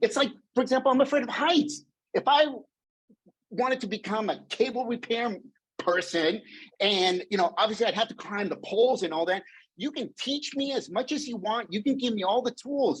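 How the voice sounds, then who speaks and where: The voice sounds animated, with lively intonation. It moves along at a moderate pace. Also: man, extremely high pitch for a man. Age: 50s. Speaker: motivational speaker. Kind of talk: keynote talk.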